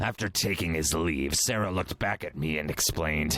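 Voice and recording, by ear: A man does a cartoonish character voice at a very deep, low pitch. His pace is moderate.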